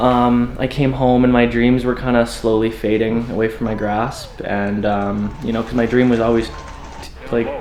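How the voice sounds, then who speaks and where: With a Canadian accent and monotone, flat intonation, the voice moves at a moderate pace over audible room echo and noticeable background noise. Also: man, medium pitch for a man. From western Canada (Calgary, Alberta). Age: 20s. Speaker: door-to-door salesman, former hockey player. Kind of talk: documentary interview. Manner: casual, filler-heavy.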